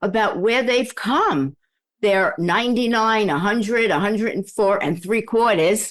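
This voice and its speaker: Against a quiet background, a woman with an unremarkable speaking voice talks at a fairly slow pace, with a fairly high pitch, ordinary pitch variation and very even loudness. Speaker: communication coach. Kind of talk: podcast interview host talk.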